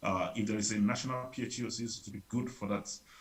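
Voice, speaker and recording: Somewhat breathy, this man's voice sits at a fairly low pitch. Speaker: public health advisor. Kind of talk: workshop presentation. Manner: fast; hesitant with many fillers.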